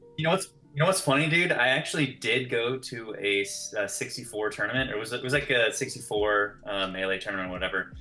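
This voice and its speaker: Over music in the background, a man with an American accent rattles along at a very fast pace with hardly any pauses, his medium-pitched voice showing lively intonation. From California. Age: 30s. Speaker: filmmaker. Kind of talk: podcast interview. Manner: hesitant, many fillers.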